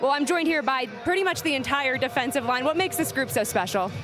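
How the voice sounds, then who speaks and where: Music plays in the background as a woman talks at a very fast pace. Her pitch is high and her intonation lively. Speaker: sports anchor and reporter. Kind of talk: sideline interview questions. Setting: outdoors, sidelines.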